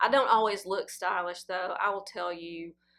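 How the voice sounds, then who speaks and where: In a Southern US accent, the words come at a moderate pace. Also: woman. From Tennessee. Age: 50s. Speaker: fashion vlogger. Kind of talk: casual Q&A chat.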